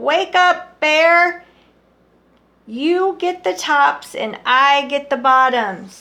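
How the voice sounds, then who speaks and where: A woman puts on a character voice at a high pitch. She speaks at a very slow pace. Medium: read story. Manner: lively, persuasive.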